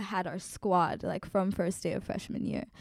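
Recorded very cleanly with a silent background, a woman speaks at a moderate pace. She has a medium pitch and a normal speaking voice. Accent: American. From Colorado, US. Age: 20s. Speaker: activist and educator. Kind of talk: interview.

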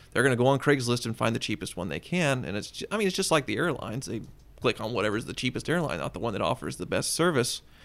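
Talking at a very fast pace in a Kansas accent, a man uses vocal fry and very wide pitch swings. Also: medium pitch for a man. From Kansas, Wichita. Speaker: car collector and automotive writer. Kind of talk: casual chat.

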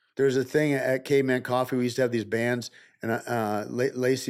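With an American accent, a man talks at a very fast pace in a medium pitch and a monotone, flat delivery, on a very clean recording with a silent background. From US Midwest, northern Michigan. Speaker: actor and stuntman, former MMA fighter. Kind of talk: casual interview conversation. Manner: halting, repeats words.

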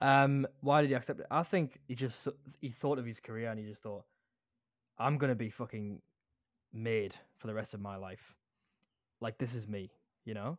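A man speaks with a Geordie accent at a medium pitch and a moderate pace, with ordinary pitch variation, big swings in loudness, and long, frequent pauses over a quiet background. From Newcastle upon Tyne, northern England. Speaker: podcast co-host. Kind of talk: casual chat.

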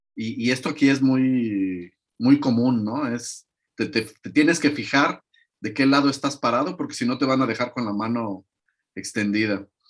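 Here a man speaks at a moderate pace in a normal speaking voice, with a medium pitch and ordinary pitch variation. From Mexico. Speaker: interview guest. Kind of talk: interview.

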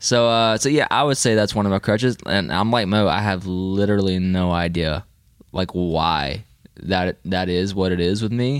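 On a very clean recording with a silent background, a man with a plain, everyday voice speaks at a moderate pace and fairly low pitch, with ordinary pitch variation and very even loudness. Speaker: podcast host. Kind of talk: casual chat. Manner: joking, laughs a lot.

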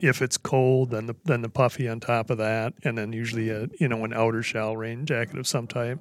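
With an ordinary speaking voice, a man talks at a medium pitch and a fairly quick pace with hardly any pauses and fairly even intonation, on a very clean recording with a silent background. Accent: American. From US Midwest. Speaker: hunting guide. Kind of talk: casual chat.

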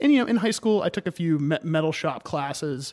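The recording is very clean with a silent background. A man with an American accent talks at a fairly quick pace with ordinary pitch variation. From Maine, US (Cumberland). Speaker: bladesmith. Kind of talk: interview conversation. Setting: in his workshop studio. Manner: halting, many repetitions.

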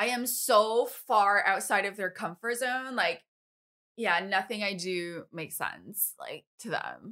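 A woman's bright, sharp voice with an American accent, medium in pitch, at a very slow pace. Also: ordinary pitch variation. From Taiwan (Taipei) and US. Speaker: photographer. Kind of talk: casual chat.

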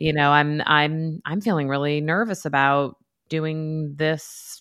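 Very slow and very deep, a woman with an American accent keeps her intonation fairly even. The recording is very clean, with a silent background. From New York, US. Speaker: therapist, author and professor.

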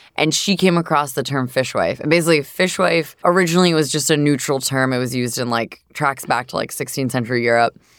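In an American accent, a woman with a very deep, low pitch talks at a very fast pace with ordinary pitch variation and hardly any pauses. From US Northeast, southern New Hampshire. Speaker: food company founder and CEO. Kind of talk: casual interview.

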